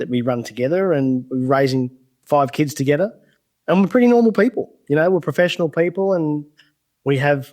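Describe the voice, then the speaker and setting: Lively intonation runs through this voice with an Australian accent. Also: man. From regional Australia. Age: 40s. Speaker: UFO witness and field investigator. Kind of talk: interview storytelling.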